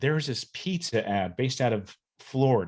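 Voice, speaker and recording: This is a very clean recording with a silent background. A man talks at a moderate pace. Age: 40s. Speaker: YouTuber who collects old TV commercials. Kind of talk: casual chat. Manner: animated.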